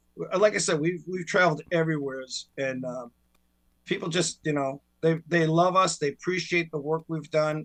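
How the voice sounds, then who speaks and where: Fairly high in pitch, a man with a normal speaking voice talks at a moderate pace with fairly even intonation. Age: 60s. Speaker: tribute band singer. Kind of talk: casual chat.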